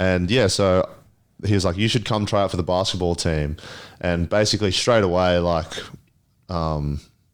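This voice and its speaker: Very deep and low, a man's voice holds very even loudness across long, frequent pauses. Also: fairly even intonation, moderate pace, very clean recording, silent background. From Papua New Guinea. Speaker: basketball player. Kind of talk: interview. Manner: casual with many fillers.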